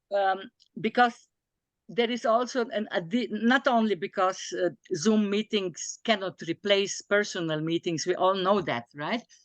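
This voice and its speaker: A woman with a non-native accent speaks fairly slowly with lively intonation. The sound is dry and close with no echo, over a quiet background. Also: medium pitch for a woman. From small European country. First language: not English. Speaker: philosopher of Chinese philosophy. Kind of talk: academic discussion. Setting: video call. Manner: halting, many fillers.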